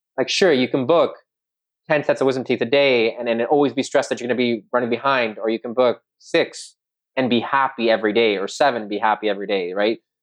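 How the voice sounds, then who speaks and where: This man has an unremarkable speaking voice at a medium pitch with ordinary pitch variation. He talks at a fairly quick pace. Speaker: oral surgery resident podcast co-host. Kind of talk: casual chat.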